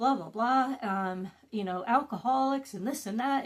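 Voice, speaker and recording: A woman with a plain, everyday voice talks at a moderate pace, her fairly high pitch carried by lively intonation. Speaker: wellness and trauma-healing content creator. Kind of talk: casual talk to camera, guided meditation talk.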